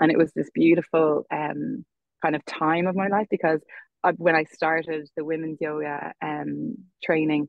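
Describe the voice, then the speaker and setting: Her pitch is very deep and low for a woman. She talks at a moderate pace with fairly even intonation. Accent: western Irish. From Ireland, Galway. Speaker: yoga teacher. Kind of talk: podcast interview. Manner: hesitant, many fillers.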